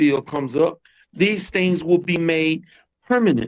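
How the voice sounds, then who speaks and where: At a fairly slow pace, a man with an American accent uses an ordinary speaking voice, fairly high in pitch with ordinary pitch variation. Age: 60s. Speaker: political candidate. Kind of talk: casual chat.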